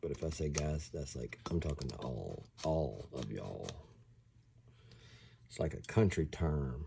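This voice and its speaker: A man with a Southern US accent speaks at a very slow pace. His tone is dark and mellow and somewhat breathy. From US South. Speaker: airsoft hobbyist YouTuber. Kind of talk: tutorial. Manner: casual.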